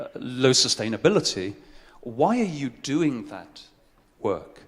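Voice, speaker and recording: This man speaks at a fairly slow pace. His pitch is medium. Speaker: conference speaker on social impact. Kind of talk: conference presentation. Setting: stage with audience.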